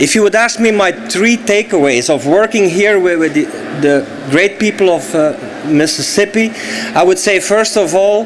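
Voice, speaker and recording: A man in a Flemish accent, high-pitched, at a moderate pace, with lively intonation, very even loudness and noticeable background noise. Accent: Belgian Dutch accent in English. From Belgium (Flemish). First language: Dutch. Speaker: solar energy company executive. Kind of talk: speech at event.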